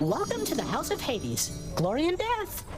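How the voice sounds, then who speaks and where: Over loud background music, a cartoonish character voice speaks at a moderate pace. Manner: cheerful, casual.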